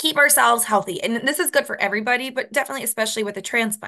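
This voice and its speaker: The voice has a bright, sharp tone and a western New York accent. The background is quiet. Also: woman. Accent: Rochester (western New York). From US, Rochester, New York. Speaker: dietitian. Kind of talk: presentation. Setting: video call.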